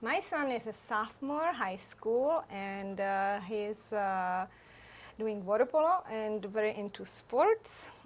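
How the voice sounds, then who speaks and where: Very slow, lively-intoned woman's voice with a Czech accent, fairly high in pitch, on a very clean recording over a silent background. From Czech Republic. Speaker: photographer. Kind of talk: interview.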